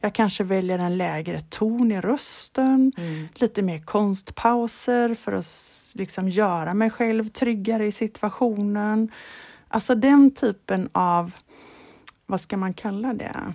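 Very slowly, a woman speaks at a medium pitch with a dark, mellow tone and ordinary pitch variation, the sound dry and close with no echo. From Sweden, Halland (Falkenberg). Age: 40s. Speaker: golf club manager, former touring golf pro. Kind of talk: casual interview. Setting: remote call.

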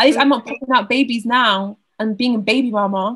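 A woman's fairly high voice keeps fairly even intonation and a moderate tempo. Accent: Southern English. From Southeast England. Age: 20s. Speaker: university student. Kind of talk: casual chat.

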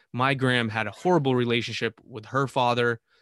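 Here a man with an American accent has an ordinary speaking voice at a medium pitch. He speaks at a fairly quick pace on a very clean recording with a silent background. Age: 30s. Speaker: podcast host. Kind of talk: testimony.

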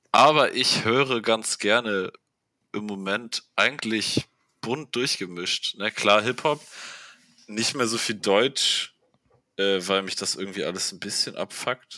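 Over a very clean recording with a silent background, a man speaks at a very slow pace with long, frequent pauses, a fairly low pitch with ordinary variation, and a bright, sharp tone in a dry, close sound with no echo. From northern Germany, Buxtehude area. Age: 20s. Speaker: podcast guest, hip-hop fan. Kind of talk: casual chat.

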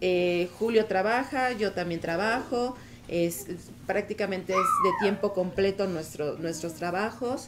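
A woman speaks with a Mexican accent at a medium pitch. Her pace is fairly slow, and noticeable background noise runs underneath. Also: ordinary pitch variation. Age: 40s. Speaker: married guest, mother. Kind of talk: casual panel chat.

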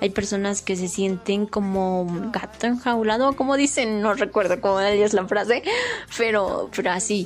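A woman with a central Mexican accent talks at a moderate pace, her fairly high pitch showing ordinary variation. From Mexico, small town in Puebla. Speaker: podcast host. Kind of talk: casual monologue.

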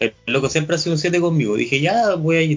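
This is a man speaking. His pace is very fast. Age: 20s. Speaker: podcast host. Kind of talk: casual chat. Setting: video call.

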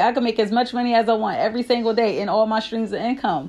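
Delivered at a fairly quick pace in an animated tone, the speech plays over music in the background. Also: woman. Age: 30s. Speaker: motivational podcast host. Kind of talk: motivational monologue.

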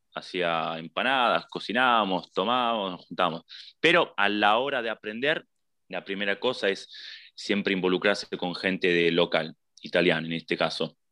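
A man with a Rioplatense accent, fairly low in pitch and bright, sharp in tone, at a moderate pace, in a dry, close sound with no echo and a quiet background. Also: ordinary pitch variation. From Buenos Aires, Argentina. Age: 20s. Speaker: emigrant interviewee. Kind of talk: casual interview. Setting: video call. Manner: halting.

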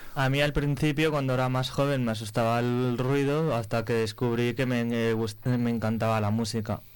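A man with a normal speaking voice, medium pitch, moderate pace, hardly any pauses, fairly even intonation and very even loudness. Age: young. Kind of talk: radio interview.

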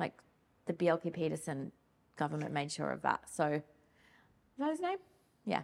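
Speaking in an Australian accent, a woman keeps a moderate pace broken by long, frequent pauses. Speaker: wool industry communications manager. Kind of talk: casual interview.

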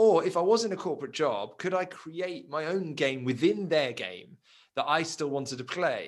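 A man's fairly high voice with vocal fry, lively intonation and a moderate pace. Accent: southern English. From England, Surrey. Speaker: life coach. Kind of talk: interview.

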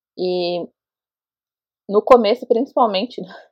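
Her pitch moves up and down as it normally would. The voice is a woman's. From Brazil, Osasco, São Paulo. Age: 30s. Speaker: interviewee sharing personal experience. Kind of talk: testimony.

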